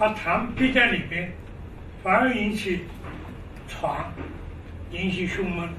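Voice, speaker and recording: A man talks at a very slow pace, leaving long, frequent pauses. The room echo is audible, and there is light background noise. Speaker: traditional Chinese medicine doctor; lecturer on traditional medicine. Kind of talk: lecture. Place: classroom.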